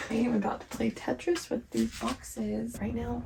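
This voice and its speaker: A soft-spoken woman at a moderate pace. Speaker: homemaker vlogger. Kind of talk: casual vlog talk. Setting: outdoors in backyard; at home, night. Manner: quiet, talking softly.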